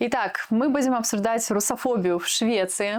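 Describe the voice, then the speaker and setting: With fairly even intonation, this woman's voice sits fairly high in pitch. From Russia, Moscow region (Protvino). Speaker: podcast co-host, programmer. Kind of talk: casual podcast chat. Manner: hesitant, many filler sounds.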